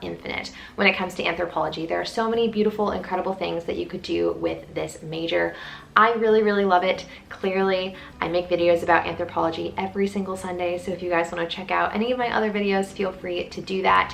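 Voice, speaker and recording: With an animated tone, a woman speaks at a very fast pace over noticeable background noise. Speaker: student vlogger. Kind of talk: casual vlog talk to camera.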